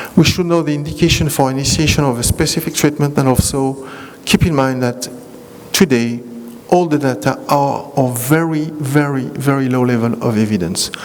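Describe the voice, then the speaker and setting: With audible echo in the room and noticeable noise around him, the man talks at a fairly high pitch. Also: ordinary pitch variation, moderate pace. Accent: French. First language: French. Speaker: rheumatologist. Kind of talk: lecture. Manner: halting.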